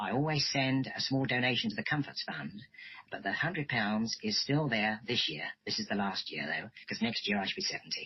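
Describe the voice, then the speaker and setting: Speaking at a fairly quick pace, a man with a medium pitch makes very wide pitch swings. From southern England, Reigate, Surrey. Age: 60s. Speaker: retired parachute instructor. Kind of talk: radio interview.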